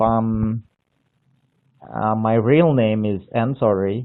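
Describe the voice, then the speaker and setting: A man with a medium pitch speaks with long, frequent pauses. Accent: Indonesian. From Indonesia, Borneo. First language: Indonesian. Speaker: English learner, viewer. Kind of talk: casual chat. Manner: halting.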